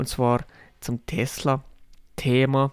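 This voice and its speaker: In a very clean recording with a silent background, a man speaks at a fairly high pitch with a monotone, flat intonation. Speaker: podcaster. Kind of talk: casual monologue.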